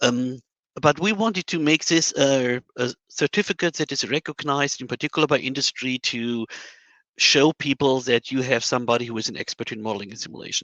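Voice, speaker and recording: With a German accent, a man talks at a fairly quick pace in a medium pitch, his tone bright and sharp, with ordinary pitch variation, dry close sound without echo, and a quiet background. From Germany. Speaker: modeling and simulation scientist. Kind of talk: panel discussion. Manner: hesitant, many fillers.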